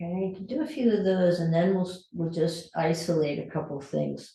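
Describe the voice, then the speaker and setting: In a room with audible echo, a woman speaks with a fairly low pitch and a dark, mellow tone that is somewhat breathy. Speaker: fitness instructor. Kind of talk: exercise class instruction.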